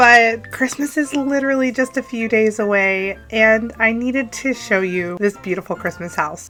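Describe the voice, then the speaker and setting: A woman with a fairly high pitch talks in an upbeat tone with lively intonation and hardly any pauses. Music plays in the background. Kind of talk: casual talk over gameplay build. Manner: chatty, upbeat.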